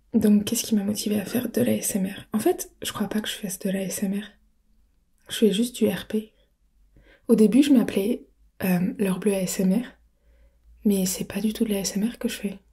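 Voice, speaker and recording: A woman speaks in a somewhat breathy voice with a dark, mellow tone and fairly even intonation, leaving long, frequent pauses. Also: moderate pace. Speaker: audio roleplay creator. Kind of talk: casual Q&A talk. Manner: soft-spoken.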